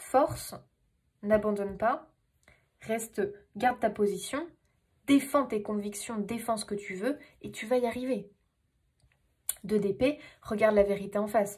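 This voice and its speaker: A woman's somewhat breathy, animated voice, fairly high in pitch and fairly slow, with long, frequent pauses and big swings in loudness. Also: ordinary pitch variation. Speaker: tarot reader. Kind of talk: tarot reading monologue. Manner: animated, hesitant fillers.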